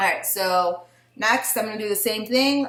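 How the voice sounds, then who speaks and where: A woman at a moderate pace, ordinary pitch variation, audible echo from the room. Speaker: beauty vlogger. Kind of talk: tutorial. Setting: at home with her baby nearby. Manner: casual, with fillers.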